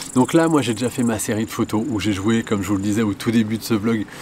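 The speech comes at a very fast pace over light background noise. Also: man. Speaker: photographer vlogger. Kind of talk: casual vlog chat. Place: open country.

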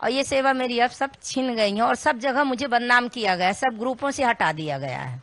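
Speaking at a high pitch and a moderate pace with hardly any pauses, a woman shows ordinary pitch variation in a dry sound with no echo. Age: old. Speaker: ashram devotee alleging threats; woman giving her account to news reporter. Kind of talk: interview testimony. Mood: aggrieved, earnest complaint. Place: home room. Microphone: handheld.

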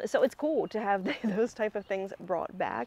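A woman speaks at a very fast pace. Her intonation is lively. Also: dry sound with no echo. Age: 40s. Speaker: music commentary youtuber. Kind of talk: video essay monologue. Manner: conversational, filler words. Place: garden.

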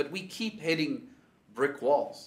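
The intonation is lively. The pace is moderate. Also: man. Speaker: speaker. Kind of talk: sermon. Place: home room.

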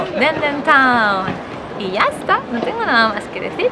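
This woman talks at a moderate pace. Crowd noise can be heard behind her. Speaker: vlogger in cosplay. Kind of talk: casual vlog chat. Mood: cheerful, smiling. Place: street. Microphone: phone near.

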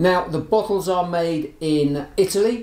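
A man with a high pitch and ordinary pitch variation speaks at a very slow pace amid audible room echo. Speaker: gin reviewer. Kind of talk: product review talk. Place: shop.

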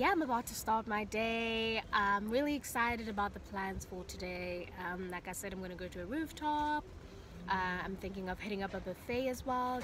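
Fairly quick speech from a woman, with ordinary pitch variation. The sound is dry with no echo, though background noise is noticeable. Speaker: vlogger. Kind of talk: casual vlog chat. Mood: excited, grateful. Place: car. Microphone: phone near.

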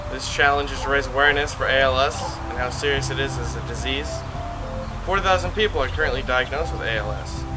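A man delivers his lines at a fairly quick pace. Behind him, music plays. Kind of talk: casual vlog chat. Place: garden. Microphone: camera far.

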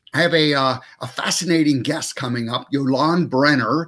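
With ordinary pitch variation, a man speaks at a fairly slow pace over a quiet background. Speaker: show host. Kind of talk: show host monologue intro. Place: home room. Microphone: webcam.

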